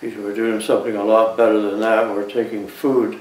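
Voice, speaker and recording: Noticeable background noise runs under the recording. A man speaks at a medium pitch and a moderate pace. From Canada. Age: 80s+. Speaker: war veteran. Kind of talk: interview answer.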